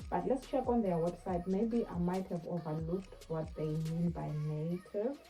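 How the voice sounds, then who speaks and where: Over music in the background, a woman speaks at a fairly slow pace with a fairly low pitch and lively intonation. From South Africa. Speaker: online English teacher and YouTuber. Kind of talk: casual tutorial. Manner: hesitant, many fillers.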